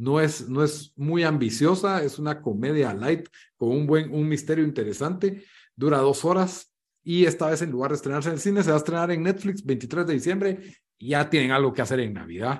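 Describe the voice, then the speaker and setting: A man with a normal speaking voice, fairly high in pitch, at a moderate pace with ordinary pitch variation against a quiet background. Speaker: podcast host. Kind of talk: casual chat.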